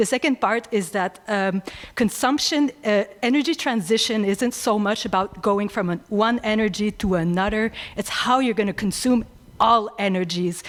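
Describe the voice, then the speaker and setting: A woman with a French accent talks at a moderate pace and a fairly high pitch, her pitch varying in an ordinary way. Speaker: energy researcher. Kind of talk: audience question at panel. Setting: conference room with audience. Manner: halting, many fillers.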